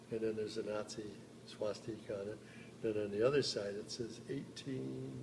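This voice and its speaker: A somewhat breathy, fairly low-pitched man at a moderate pace, with long, frequent pauses, big swings in loudness and audible room echo. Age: 80s+. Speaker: war veteran. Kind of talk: testimony. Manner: halting.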